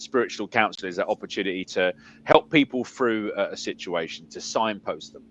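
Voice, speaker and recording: This man talks at a fairly quick pace in an English accent, with big swings in loudness. The sound is dry and close, with no echo. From South London, England. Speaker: spiritualist medium and minister. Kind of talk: interview. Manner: halting, many fillers and repeats.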